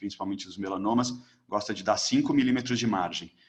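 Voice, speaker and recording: The man's speech comes at a fairly quick clip. His delivery is monotone and flat. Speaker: ophthalmologist, ocular oncology lecturer. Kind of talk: lecture. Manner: fast.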